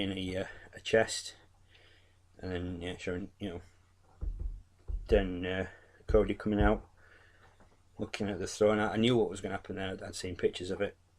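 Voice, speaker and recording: A man speaks at a fairly quick pace with an English accent. His pitch is fairly low. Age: 40s. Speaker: wrestling YouTuber. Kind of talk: casual review monologue. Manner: animated; halting.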